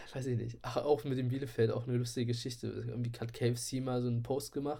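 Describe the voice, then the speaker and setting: A man talks at a very fast pace in a monotone, flat way. His voice is somewhat breathy, with a dark, mellow tone. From Saxony-Anhalt, Köthen area. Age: 20s. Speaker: podcast co-host, chemistry student and photographer. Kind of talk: casual chat. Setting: remote recording from home.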